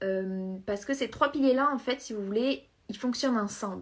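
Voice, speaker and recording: A woman's fairly high voice moves at a moderate pace, its pitch shifting in an ordinary way. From southern France. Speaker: equestrian business coach. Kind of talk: live stream talk. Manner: hesitant, many fillers.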